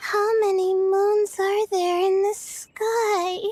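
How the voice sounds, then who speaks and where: In a put-on character voice, a woman speaks at a very slow pace with an extremely high pitch and monotone, flat intonation. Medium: video game. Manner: hesitant, full of "uh"s.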